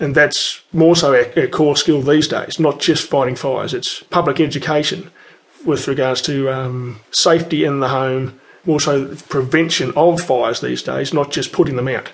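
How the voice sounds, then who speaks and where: Here a man talks with an Australian accent at fairly high pitch. His intonation is fairly even and his pace moderate. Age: 40s. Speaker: firefighter. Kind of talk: interview monologue. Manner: hesitant with fillers.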